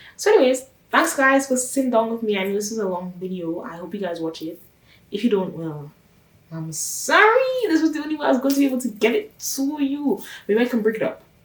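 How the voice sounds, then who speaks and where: Over noticeable background noise, a woman talks fairly quickly in a high, animated voice with very wide pitch swings and big swings in loudness. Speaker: YouTuber reviewing a TV show. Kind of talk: casual TV recap vlog. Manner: fast.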